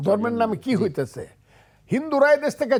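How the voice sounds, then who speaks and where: Against a silent background, a very clean recording captures a man speaking. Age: 70s. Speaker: lawyer and politician, war veteran. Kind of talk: TV talk show discussion.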